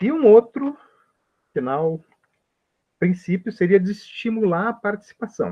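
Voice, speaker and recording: A man with a high pitch and a dark, mellow tone speaks fairly slowly, with long, frequent pauses. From Brazil. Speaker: health professor. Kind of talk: lecture.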